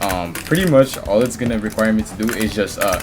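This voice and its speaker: A man with a fairly low pitch talks while music plays behind him. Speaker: gaming tutorial creator. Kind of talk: tutorial. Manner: halting, stuttering; casual, slangy.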